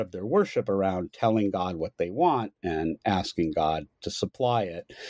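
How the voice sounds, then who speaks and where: Recorded very cleanly against a silent background, a man with an American accent speaks in a dark, mellow tone with a dry, close sound and no echo. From US. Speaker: anthropology professor. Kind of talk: interview about his book.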